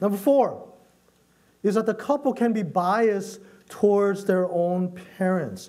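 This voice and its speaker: Audible room echo surrounds a man's high voice. He speaks at a fairly slow pace. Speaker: pastor. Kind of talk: sermon.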